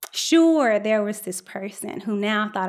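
A woman with a normal speaking voice uses lively intonation and a fairly high pitch, moving at a fairly slow pace. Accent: American. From Chicago South Side. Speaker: scientist and storyteller. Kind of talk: storytelling performance. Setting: stage with live audience.

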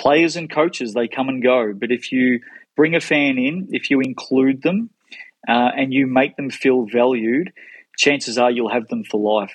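Medium-pitched male voice in an Australian accent, moderate in pace, with ordinary pitch variation. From Melbourne, Australia. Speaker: sports marketing executive. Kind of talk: interview.

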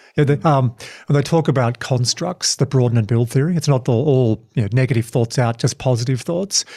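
At a fairly quick pace, a man speaks at medium pitch with a dark, mellow, somewhat breathy tone, ordinary pitch variation and very even loudness, on a very clean recording with a silent background. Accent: Australian. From Tasmania, Australia. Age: 40s. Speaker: podcast host and keynote speaker. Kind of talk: casual interview chat.

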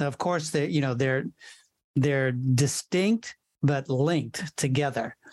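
A moderate pace against a quiet background. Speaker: podcast host. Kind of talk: scripted intro and interview questions.

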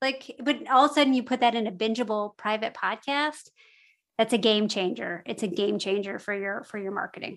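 Heard on a very clean recording with a silent background, a woman with a fairly high pitch speaks at a fairly quick pace with ordinary pitch variation. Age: 40s. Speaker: podcast hosting company co-founder. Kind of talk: interview conversation. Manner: animated.

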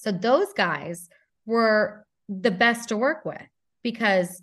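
It is a plain, everyday voice with fairly even intonation. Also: woman. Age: 30s. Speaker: former intelligence officer turned novelist. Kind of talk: casual interview.

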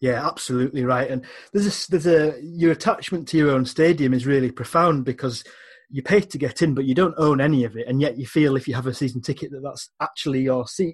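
Over a quiet background, a man with an English accent talks at a very fast pace, his fairly high voice somewhat breathy and showing ordinary pitch variation. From England. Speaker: magazine editor and football writer. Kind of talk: casual chat.

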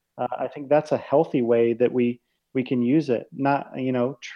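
A man talks at a medium pitch. His intonation is flat and monotone. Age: 20s. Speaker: ministry author and speaker. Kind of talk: casual interview conversation.

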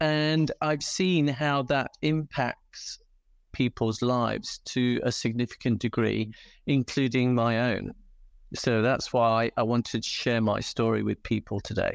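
In a very clean recording with a silent background and a dry, close sound with no echo, a man with a British accent speaks at a fairly slow pace and medium pitch, with ordinary pitch variation and very even loudness. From England. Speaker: dog rescue volunteer. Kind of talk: interview.

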